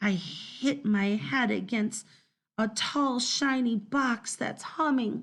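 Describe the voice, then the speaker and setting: A woman performs in a put-on character voice. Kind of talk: first-person children's story reading. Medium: read story. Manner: lively, dramatic.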